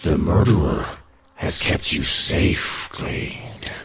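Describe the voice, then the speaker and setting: Raspy and very deep in pitch, a man uses a put-on character voice at a very slow pace. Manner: ominous, reassuring.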